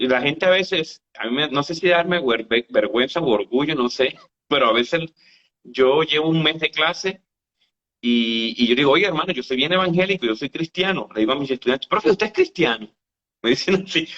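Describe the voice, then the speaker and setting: At a moderate pace, a man with a fairly high pitch talks with lively intonation. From Colombia, northeast (Santander) and Caribbean coast. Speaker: university lecturer. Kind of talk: casual chat.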